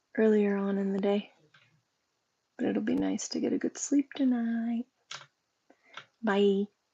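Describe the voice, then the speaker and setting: A woman with a medium pitch and a dark, mellow tone speaks at a fairly slow pace with long, frequent pauses. Her voice is somewhat breathy, and the sound is dry and close with no echo. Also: ordinary pitch variation. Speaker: livestreamer. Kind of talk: casual chat. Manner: chatty, casual.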